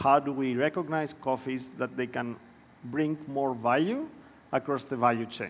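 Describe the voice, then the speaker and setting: Someone speaks at a moderate pace with a Greek accent. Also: man. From Greece. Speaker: panel moderator. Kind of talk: conference presentation. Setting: conference room with audience.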